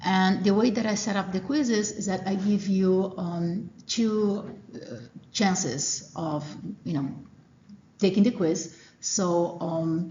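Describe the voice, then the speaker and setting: Amid audible room echo, a woman at medium pitch speaks at a very slow pace with long, frequent pauses and ordinary pitch variation. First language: Portuguese. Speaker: college professor. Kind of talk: lecture. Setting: classroom. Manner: hesitant, many fillers.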